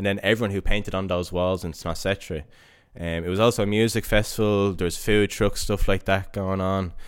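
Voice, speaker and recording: A man's fairly quick, flat, monotone delivery on a very clean recording with a silent background. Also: fairly low pitch for a man. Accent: Dublin. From Dublin, Ireland (Coolock, northside). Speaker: barber and artist. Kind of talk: casual interview.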